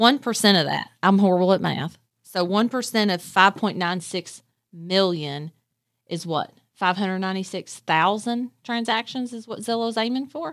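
The voice has an American accent, a moderate pace and ordinary pitch variation, in a very clean recording with a silent background. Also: woman, medium pitch for a woman. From Kentucky (Nicholasville area). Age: 40s. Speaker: real estate broker. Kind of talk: casual interview.

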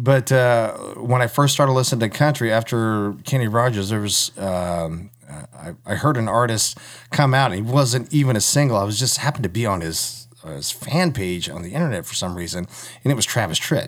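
In an ordinary speaking voice with an American accent, a man talks at a fairly quick pace at a medium pitch with lively intonation. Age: 40s. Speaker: country singer and firefighter. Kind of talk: casual chat interview.

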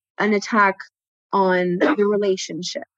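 At medium pitch, a woman speaks at a moderate pace. Her sound is dry and close, without echo. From Ontario, Canada (Burlington). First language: French. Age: 30s. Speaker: tattoo artist and visual artist. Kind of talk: casual interview. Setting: remote call. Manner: hesitant, many fillers.

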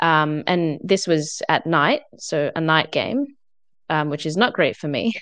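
A woman's very deep, low voice with an Australian accent, fairly slow pace, ordinary pitch variation and a quiet background. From Adelaide, South Australia. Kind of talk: casual interview.

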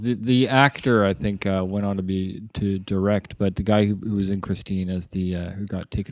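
A man with a Canadian accent speaks in a very deep, low pitch at a fairly quick pace, with hardly any pauses. The recording is very clean, with a silent background. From Canada, Toronto (North York). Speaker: podcast co-host. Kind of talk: casual chat.

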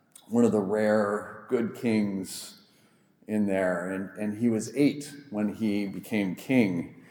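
This man talks at a very slow pace. Audible room echo surrounds his voice. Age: 40s. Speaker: pastor. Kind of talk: sermon.

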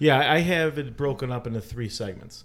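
This voice has a Chicago accent and lively intonation. The pace is moderate. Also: man. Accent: Chicago American. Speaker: athletic trainer and gym owner. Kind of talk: casual interview.

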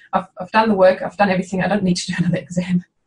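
A woman's voice sits at a medium pitch and sounds somewhat breathy. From northern Germany. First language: German. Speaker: veterinarian. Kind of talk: interview.

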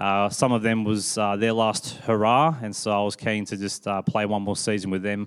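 A man speaks with an Australian accent and a fairly low pitch. His pitch variation is ordinary. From Sydney, Australia. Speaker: pastor. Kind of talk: interview on church stage; sermon-style reflection. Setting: church stage with congregation.

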